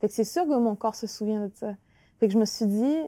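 In a Quebec accent, a woman speaks at a fairly high pitch with a dark, mellow tone. The sound is dry and close, with no echo. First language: Innu (speaking French). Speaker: author and actress. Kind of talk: interview. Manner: halting, many repetitions.

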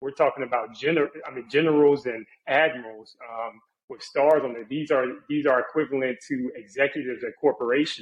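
A man with an American accent talks at a fairly quick pace in a plain, everyday voice, his pitch fairly high. His intonation stays fairly even while his loudness swings widely. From Charlotte, North Carolina. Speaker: personal injury lawyer and Navy veteran. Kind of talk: interview conversation.

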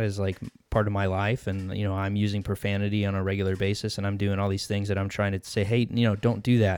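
This man's pitch is fairly low and his pace fairly quick. The background is silent in this very clean recording. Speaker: podcast host. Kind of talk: casual chat. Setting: office.

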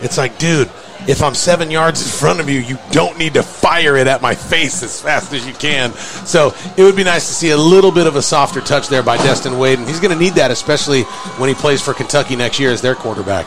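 Male speech at a fairly quick pace with ordinary pitch variation and music in the background. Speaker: color commentator. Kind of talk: live sports commentary, casual analysis. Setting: stadium press box, live radio broadcast. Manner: conversational, relaxed, opinionated; hesitant, filler-heavy, repeats words.

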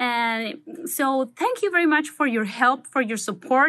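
Against a quiet background, a woman speaks with a Spanish accent at a fairly slow pace. Her pitch is high, with ordinary pitch variation. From Mexico, Manzanillo. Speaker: doctor. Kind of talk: recorded testimony.

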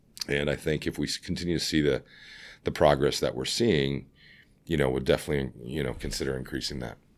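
With vocal fry and fairly even intonation, the voice goes at a very fast pace on a very clean recording with a silent background. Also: man, very deep, low pitch for a man. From Ontario, Canada (Scarborough, Toronto). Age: 40s. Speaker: company CEO. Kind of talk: interview.

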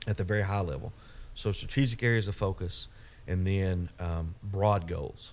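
A man with an Arkansas accent, fairly low in pitch, at a moderate pace with ordinary pitch variation. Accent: Southern US (Arkansas). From US South, Little Rock, Arkansas. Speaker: utility company CEO. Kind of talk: casual interview.

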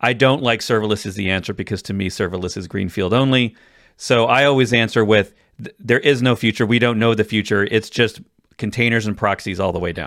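A man with a normal speaking voice, fairly low in pitch, at a fairly quick pace with ordinary pitch variation, on a very clean recording with a silent background. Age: 40s. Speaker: tech podcast host. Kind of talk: casual chat.

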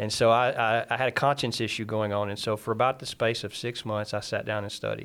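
On a very clean recording with a silent background, a man with a fairly low pitch talks at a very fast pace. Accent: American. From Mississippi, US. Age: 30s. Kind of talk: testimony. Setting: studio.

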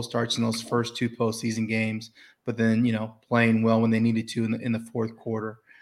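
At a moderate pace and medium pitch, a man talks in an unremarkable speaking voice, captured in a very clean recording with a silent background. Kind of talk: casual chat.

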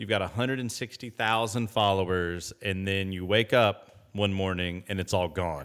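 Hardly pausing, a man with an ordinary speaking voice and an American accent talks at a moderate pace, his fairly low pitch showing ordinary variation. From US Midwest, Indianapolis. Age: 30s. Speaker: podcast host. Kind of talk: casual interview chat.

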